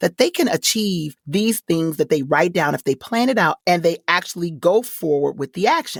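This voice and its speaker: In a dry, close recording with no echo and a silent background, a woman with an American accent talks at a moderate pace with very wide pitch swings. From Detroit, Michigan. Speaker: voice actor and corporate trainer. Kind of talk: interview answer.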